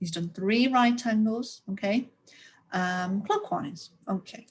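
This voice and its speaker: A woman's voice is somewhat breathy. Her intonation is lively. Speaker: primary school teacher. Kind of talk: recorded lesson for young pupils. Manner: animated.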